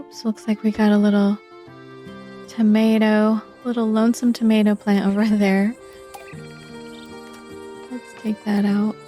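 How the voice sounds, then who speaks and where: Over music in the background, a soft-spoken woman talks fairly slowly in a calm, gentle tone, flat and monotone, with long, frequent pauses. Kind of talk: casual gameplay commentary. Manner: soft-spoken, calm, gentle.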